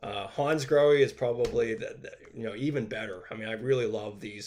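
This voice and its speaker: A man with a medium-pitched voice talks at a fairly quick pace. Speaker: bathroom remodeling teacher. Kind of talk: live stream Q&A. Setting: live stream. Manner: fast.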